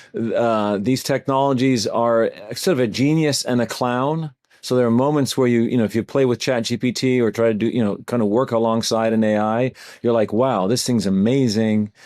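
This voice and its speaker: An ordinary speaking voice from a man, medium in pitch, with fairly even intonation. He talks at a moderate pace against a quiet background. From Canada. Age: 60s. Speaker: AI training company founder. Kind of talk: podcast interview.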